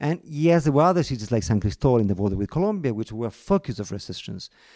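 A man's dark, mellow voice at medium pitch, very fast pace and very wide pitch swings, in a very clean recording with a silent background. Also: dry, close sound with no echo. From Argentina, Buenos Aires. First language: Spanish. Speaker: foreign correspondent journalist. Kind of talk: interview conversation. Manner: halting, many repetitions.

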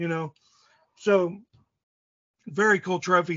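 With a Midwestern American accent, this man talks at a moderate pace in a high pitch and fairly even intonation. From US Midwest, southeast Indiana. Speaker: archery gear maker. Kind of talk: casual interview. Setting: phone call. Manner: rambling.

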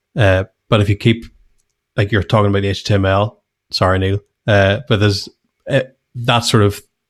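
At a moderate pace, a man with a fairly low voice speaks in a Northern Irish accent. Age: 30s. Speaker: podcast co-host, web designer. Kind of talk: casual chat. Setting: video call.

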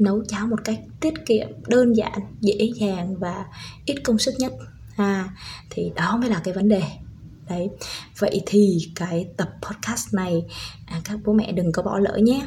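A woman at a medium pitch talks at a fairly slow pace with ordinary pitch variation, long and frequent pauses, and noticeable background noise. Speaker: parenting podcaster, stay-at-home mother, former preschool teacher. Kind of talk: tutorial.

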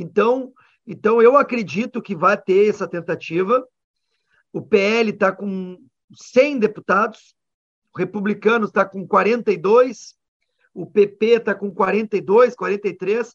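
A man with a high pitch speaks at a very slow pace, with fairly even intonation, big swings in loudness, and long, frequent pauses. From Rio Grande do Sul, Brazil. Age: 40s. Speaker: politician, former army officer. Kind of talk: radio interview.

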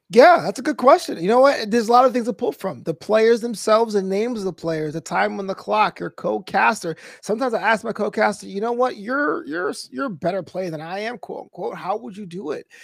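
A man talks at a very fast pace in an animated tone, his high pitch carried by lively intonation and big swings in loudness, with a dry, close sound and no echo. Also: hardly any pauses. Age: 30s. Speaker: esports commentator and comedian. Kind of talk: interview.

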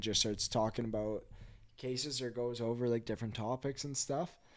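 A man with a Canadian accent and an ordinary speaking voice talks at a moderate pace and medium pitch, with ordinary pitch variation. The recording is very clean, with a silent background. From western Canada (Kelowna, BC). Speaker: junior hockey goalie. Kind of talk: casual chat.

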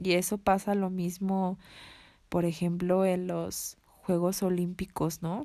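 A woman's medium-pitched, dark, mellow voice, very slow and flat in a monotone. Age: 20s. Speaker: podcast host. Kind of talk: casual monologue. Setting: home bedroom at night. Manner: quieter than usual.

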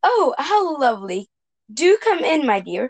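In a put-on character voice, a woman speaks high and croaky at a moderate pace. Her pitch swings very widely.

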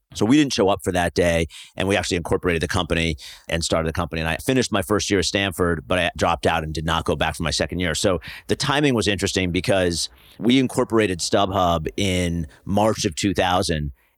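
A man with an American accent talks at a very fast pace, his pitch very deep and low with ordinary variation. The recording is very clean, with a silent background. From US Northeast, New Jersey. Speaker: startup founder and venture investor. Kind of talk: casual interview.

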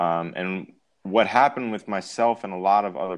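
A man with an American accent talks at a fairly low pitch and a fairly slow pace. His pitch varies in an ordinary way over a quiet background. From Long Island, New York. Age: 20s. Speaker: semi-pro football player. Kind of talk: casual interview. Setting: call, at home in his apartment.

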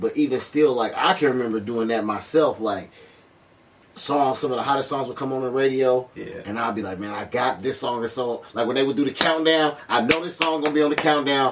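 A man's medium-pitched voice at a fairly quick pace, with ordinary pitch variation and noticeable background noise. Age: 20s. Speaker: DJ and podcast host. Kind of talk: casual chat.

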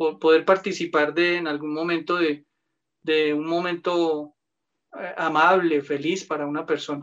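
Fairly slow pace from a man with a Bogotá accent, fairly high pitch, and monotone, flat intonation. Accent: Bogotá Colombian Spanish. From Colombia, Bogotá. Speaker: lawyer. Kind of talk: casual interview.

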